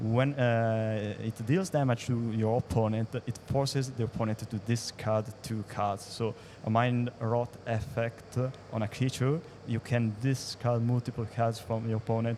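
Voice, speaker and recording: Monotone, flat intonation carries words delivered at a fairly slow pace. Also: man, medium pitch for a man. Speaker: esports co-commentator. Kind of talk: live commentary.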